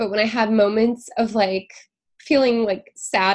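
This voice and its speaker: A woman with an American accent speaks at a moderate pace in a fairly high pitch, using a normal speaking voice. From US Pacific Northwest, Seattle. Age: 40s. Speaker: marketing executive and podcaster. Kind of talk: casual interview chat.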